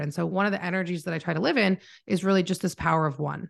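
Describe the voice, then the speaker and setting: A woman talks fairly quickly in an ordinary speaking voice. Her pitch is fairly low with ordinary variation, and the background is quiet. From Canada. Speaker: marketing mentor and agency owner. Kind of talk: casual interview chat. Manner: introverted, calm, not bubbly.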